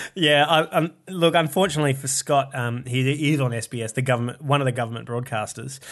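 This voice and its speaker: Over a quiet background, a man with an Australian accent talks at a very fast pace, fairly high in pitch with ordinary pitch variation. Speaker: comedian. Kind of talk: casual chat.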